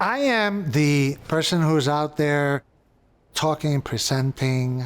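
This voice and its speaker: Speaking very slowly, a man with a New York accent uses a fairly high voice and ordinary pitch variation. The recording is very clean, the background silent. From New York City, the Bronx. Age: 60s. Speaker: bookstore co-owner. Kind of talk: documentary interview; casual chat.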